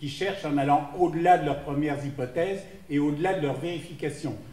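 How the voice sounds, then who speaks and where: Audible room echo and noticeable background noise surround a man speaking with a fairly high pitch. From France. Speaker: professor. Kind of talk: conference opening remarks. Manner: hesitant, with fillers.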